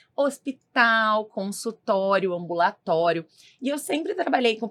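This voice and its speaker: A normal speaking voice with lively intonation at a fairly slow pace. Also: woman. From southern Brazil, Rio Grande do Sul. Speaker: clinical nutritionist. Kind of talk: podcast interview.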